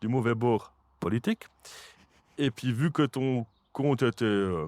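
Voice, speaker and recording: A man at a very slow pace, dry and close with no echo, very even in loudness, on a very clean recording with a silent background. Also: medium pitch for a man, ordinary pitch variation. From Switzerland, Jura. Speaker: podcast host. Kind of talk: casual interview chat. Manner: hesitant, many fillers.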